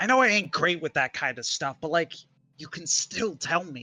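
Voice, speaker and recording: With faint music in the background, a man does a put-on character voice at a fairly high pitch and a fairly slow pace. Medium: read story. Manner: gruff, plain-spoken.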